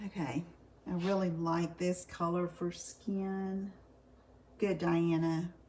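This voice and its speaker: A woman's fairly low, somewhat breathy voice, dark and mellow in tone, monotone and flat, very even in loudness, at a very slow pace with long, frequent pauses. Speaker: card making demonstrator. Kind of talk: live craft tutorial. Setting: live stream. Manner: casual, chatty; soft-spoken.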